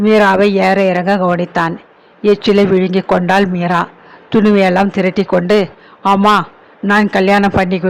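The reading voice here is unforced.

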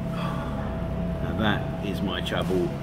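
A man is speaking. Loud background noise runs underneath him. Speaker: food vlogger. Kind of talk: casual vlog chat. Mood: upbeat, enthusiastic. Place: cafe. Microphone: phone near.

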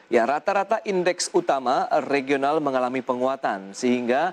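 A man with an unremarkable speaking voice, fairly high-pitched, at a moderate pace, the sound dry and close with no echo. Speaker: news anchor. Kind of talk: formal TV business newsreading. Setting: TV studio.

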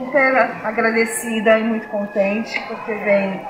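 A woman keeps her intonation fairly even while noticeable background noise is heard. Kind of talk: interview answer. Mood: grateful, pleased. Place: classroom.

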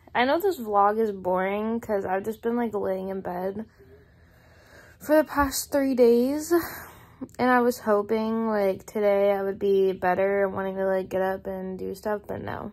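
With ordinary pitch variation, the speech moves at a fairly slow pace. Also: woman. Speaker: vlogger. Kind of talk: casual vlog chat. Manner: sleepy, weak, low-energy voice. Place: home room. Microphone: phone near.

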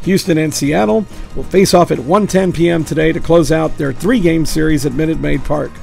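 A man with a high pitch talks at a fairly quick pace while music plays in the background. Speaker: local news presenter. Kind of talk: local news bulletin read.

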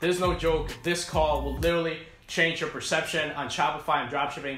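A man talks at a fairly quick pace amid audible room echo and light background noise. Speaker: e-commerce coach. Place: home room.

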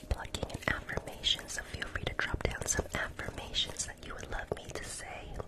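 Whispering with hardly any pauses, a man talks at a fairly quick pace. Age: 20s. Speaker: ASMR creator. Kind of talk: ASMR livestream role-play, talking to viewers. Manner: whispered, soft-spoken. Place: home room. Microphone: studio mic.

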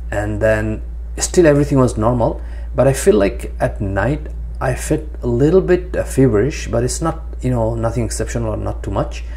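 This man's voice sits very deep and low, with fairly even intonation. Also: moderate pace. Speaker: vlogger. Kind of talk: personal vlog monologue. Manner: hesitant, many fillers. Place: home room. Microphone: lapel.

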